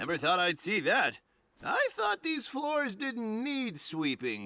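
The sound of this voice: In a cartoonish character voice, a man speaks high in pitch at a fairly slow pace. His pitch swings very wide.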